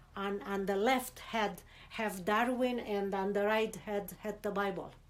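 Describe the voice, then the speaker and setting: A woman speaks at a fairly slow pace in a Romanian accent, her intonation flat and monotone. Audible room echo surrounds her voice. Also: medium pitch for a woman. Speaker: immigrant interviewee. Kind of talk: interview. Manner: halting, many repetitions.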